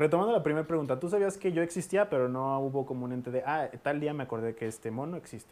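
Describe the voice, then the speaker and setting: A man with a fairly high pitch talks at a very fast pace with hardly any pauses and ordinary pitch variation. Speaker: podcast host; booktuber. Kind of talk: casual chat.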